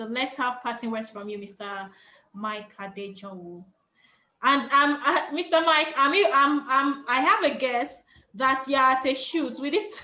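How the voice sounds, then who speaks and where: With a Yoruba accent, a woman speaks in a raised, projected, high-pitched voice at a fairly slow pace, with a bright, sharp tone, lively intonation and big swings in loudness. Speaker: panel moderator. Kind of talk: moderated panel discussion. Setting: video call.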